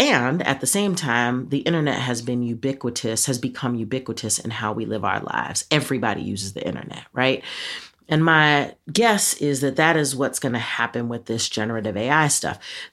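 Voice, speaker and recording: Speech at a fairly quick pace comes through a very clean recording with a silent background. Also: woman, very deep, low pitch for a woman, ordinary pitch variation. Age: 50s. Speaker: podcast co-host, educator. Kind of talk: casual chat.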